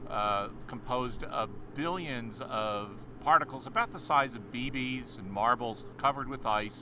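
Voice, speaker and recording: Audible room echo carries this voice. A man speaks at a medium pitch. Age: 60s. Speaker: astronomy educator. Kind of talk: live stream commentary. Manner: halting, many fillers.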